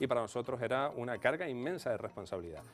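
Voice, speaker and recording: Over music in the background, a man with a Canarian accent speaks at a very fast pace with ordinary pitch variation. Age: 40s. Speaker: radio station director. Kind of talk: TV interview. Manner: hesitant fillers.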